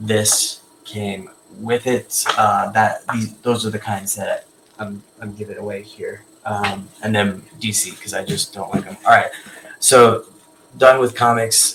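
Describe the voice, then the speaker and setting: A man's medium-pitched voice at a moderate pace, with noticeable background noise. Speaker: collectibles seller and live streamer. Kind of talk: live stream show-and-tell. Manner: halting, many filler words.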